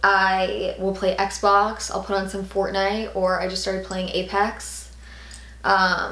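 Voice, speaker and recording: The room echo is audible. A woman speaks very slowly at a medium pitch. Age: 20s. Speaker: YouTuber. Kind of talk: casual Q&A vlog. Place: home room.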